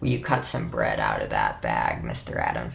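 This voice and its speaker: Using a raspy, put-on character voice, a man speaks at a moderate pace. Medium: read story. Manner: formal, polite, soft-spoken.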